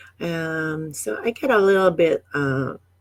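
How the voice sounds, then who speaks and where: A woman talks with a very deep, low voice and ordinary pitch variation. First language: not English. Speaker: online business coach. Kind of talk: live stream talk. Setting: Facebook live stream. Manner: halting, many fillers.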